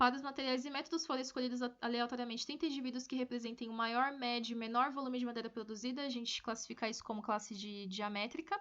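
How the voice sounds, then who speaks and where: Over noticeable background noise, a woman talks at a very fast pace in a high pitch with ordinary pitch variation. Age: 20s. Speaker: forestry engineering student. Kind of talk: research presentation. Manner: halting, with fillers and repetitions.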